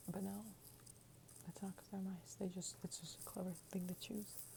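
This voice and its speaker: The voice is soft-spoken with a gentle tone. Noticeable background noise runs underneath. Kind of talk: ASMR children's book reading. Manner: soft-spoken, gentle.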